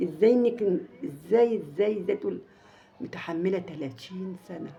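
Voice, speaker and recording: Against noticeable background noise, a woman with an Egyptian accent speaks at a very slow pace in a medium voice with lively intonation. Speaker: family vlogger. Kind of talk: casual storytelling to viewers. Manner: halting, many repetitions; raised volume slightly.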